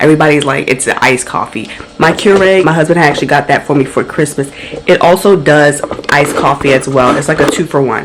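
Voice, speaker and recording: A woman with a very deep, low pitch talks at a very fast pace in an animated tone with very even loudness, over noticeable background noise. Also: ordinary pitch variation. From Caribbean family background. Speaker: lifestyle vlogger. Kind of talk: casual vlog talk. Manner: chatty, animated.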